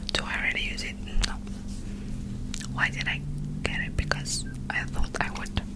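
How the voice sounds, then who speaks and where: Whispering and soft-spoken, a woman keeps a moderate pace over loud background noise. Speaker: makeup reviewer. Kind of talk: soft casual ASMR-style product chat. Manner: soft close-mic whisper. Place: home room. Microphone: studio mic.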